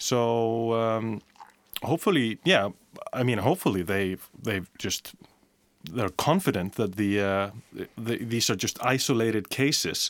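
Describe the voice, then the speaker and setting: Speaking with an Icelandic accent, a man uses a medium pitch and ordinary pitch variation at a fairly slow pace, leaving long, frequent pauses. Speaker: broadcast journalist. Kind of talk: casual chat. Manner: halting.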